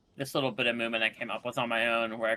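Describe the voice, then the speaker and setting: Speaking at a very fast pace, a man has a medium pitch and a bright, sharp tone. The sound is dry and close, with no echo. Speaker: speedrunner. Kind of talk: live gameplay commentary. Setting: live charity stream. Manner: quiet while concentrating.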